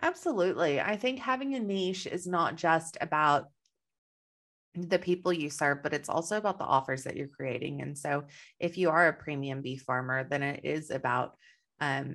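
A woman with a very deep, low pitch keeps to a moderate pace and ordinary pitch variation, captured on a very clean recording with a silent background. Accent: slight Texan. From Texas. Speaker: business coach. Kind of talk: interview.

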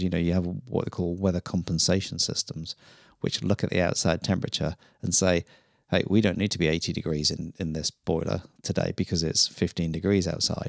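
With a British accent, a man talks at a fairly quick pace in a very deep, low voice with fairly even intonation, the sound dry and close with no echo on a very clean recording with a silent background. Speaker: plumber and gas fitter. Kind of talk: casual chat.

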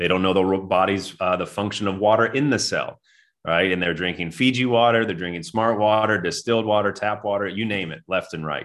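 This man has an ordinary speaking voice with a fairly low pitch. His pitch variation is ordinary. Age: 30s. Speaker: former pro basketball player turned wellness coach. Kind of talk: interview.

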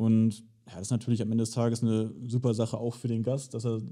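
The man's voice has a dark, mellow tone. He talks rather quickly. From Germany, Hildesheim area. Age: 20s. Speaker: short-term rental entrepreneur. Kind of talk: interview.

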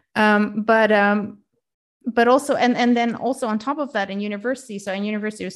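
A woman of medium pitch with a Dutch accent, at a fairly quick pace. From Netherlands. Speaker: life coach. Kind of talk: interview.

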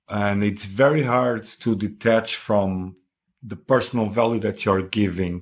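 At a fairly slow pace, a man with a Portuguese accent speaks with fairly even intonation. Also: fairly low pitch for a man. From Portugal. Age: 40s. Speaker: husband and guest. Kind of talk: casual chat, interview. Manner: halting, hesitant with fillers.

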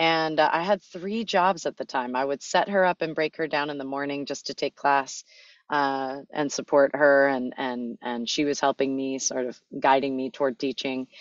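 A woman with an American accent talks at a moderate pace in a very deep, low pitch with ordinary pitch variation. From Los Angeles, US. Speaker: wellness company executive and fitness teacher. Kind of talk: casual interview.

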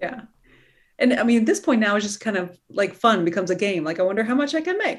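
A woman's very fast, somewhat breathy voice, fairly high in pitch, with lively intonation. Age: 40s. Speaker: podcast host, general surgeon and coach. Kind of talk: interview conversation.

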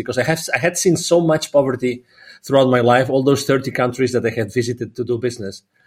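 At a very fast pace, a man speaks with ordinary pitch variation. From Catalonia, Spain. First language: Spanish or Catalan. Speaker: business consultant and philanthropist. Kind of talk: podcast interview.

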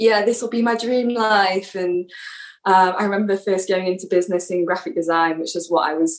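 A woman with an English accent, medium in pitch, at a fairly quick pace. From England. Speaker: yoga teacher trainee and podcaster. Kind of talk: casual interview.

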